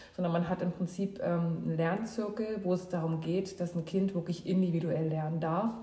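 With noticeable background noise behind her, a woman speaks at a moderate pace in a fairly low, monotone, flat voice, keeping her loudness very even and hardly pausing at all. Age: 30s. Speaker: mother emigrating with children. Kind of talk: casual interview. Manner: halting, many fillers.

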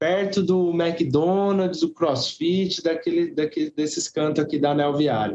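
A man talks at a fairly slow pace with hardly any pauses. His loudness is very even. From Brazil, Guarulhos (São Paulo). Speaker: circus actor and theatre teacher. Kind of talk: interview chat.

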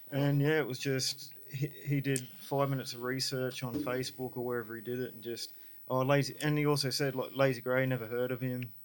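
A man with an Australian accent speaks at a fairly quick pace with hardly any pauses. His pitch is medium and his intonation monotone and flat. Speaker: music promoter. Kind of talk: casual chat.

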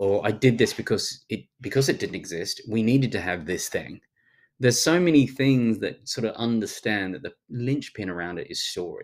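A man with a strong Australian accent speaks with lively intonation. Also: medium pitch for a man. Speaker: futurist and speaker. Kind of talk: casual interview chat. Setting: video call. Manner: fast talker.

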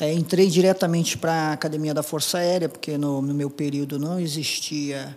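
This man talks in a monotone, flat way at a fairly high pitch for a man. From Paraná, Brazil (Apucarana). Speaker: air force colonel and helicopter pilot. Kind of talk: interview storytelling. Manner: halting, many fillers.

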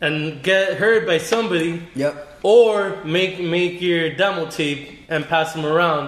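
A man with a high pitch talks at a fairly slow pace and ordinary pitch variation, amid noticeable background noise and audible room echo. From born in New York, raised in Miami. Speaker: beer delivery entrepreneur. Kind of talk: casual chat.

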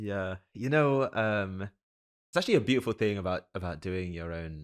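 A man's very deep, low voice with an American accent, moderate pace and ordinary pitch variation, in a very clean recording with a silent background. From London, England. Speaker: podcast host. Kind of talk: interview conversation.

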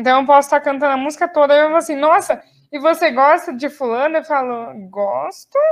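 Speaking at a fairly quick pace, a woman uses a high-pitched voice with ordinary pitch variation. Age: 20s. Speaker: podcast co-host, law student and English teacher. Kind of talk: casual chat.

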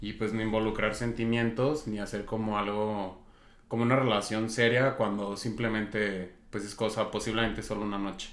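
A fairly low-pitched man at a moderate pace, with audible room echo. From Zacatecas, Mexico. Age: 20s. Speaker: marketing professional. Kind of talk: casual chat.

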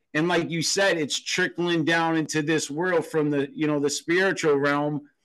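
This is a normal speaking voice: a man with fairly high pitch and fairly even intonation, talking at a moderate pace. The background is quiet. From Boston, Massachusetts. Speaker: podcast host. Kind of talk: casual interview chat.

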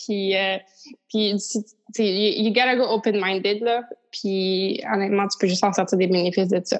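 A woman with a Quebec accent speaks at a fairly slow pace in a monotone, flat intonation. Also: medium pitch for a woman. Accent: Québécois French. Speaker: podcast host. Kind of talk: casual interview.

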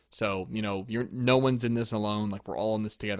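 A normal speaking voice moves at a fairly quick pace with fairly even intonation. The recording is very clean and the background silent. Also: man. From Pennsylvania, US. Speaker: podcast host and trumpet player. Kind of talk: casual chat.

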